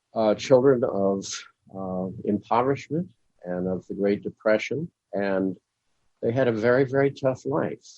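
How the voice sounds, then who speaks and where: A man with a Midwestern accent talks at a fairly slow pace and a medium pitch, with ordinary pitch variation. He leaves long, frequent pauses. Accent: American Midwestern. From US Midwest, Springfield, Illinois. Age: 80s+. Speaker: Jungian analyst and author. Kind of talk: interview.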